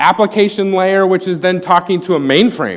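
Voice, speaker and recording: Fairly even intonation carries speech delivered at a moderate pace. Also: man. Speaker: corporate IT presenter. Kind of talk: conference talk.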